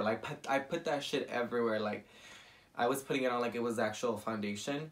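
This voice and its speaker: Someone talks at a fairly quick pace with a Spanish accent. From US, Mexican-American family. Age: 20s. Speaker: makeup artist, beauty vlogger. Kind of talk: makeup tutorial with personal story. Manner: casual, chatty.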